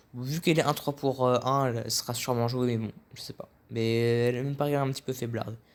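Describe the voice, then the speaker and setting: At a fairly quick pace, a man speaks in a medium pitch with fairly even intonation. The recording is very clean, with a silent background. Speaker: card game reviewer. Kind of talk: casual commentary. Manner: fast; halting.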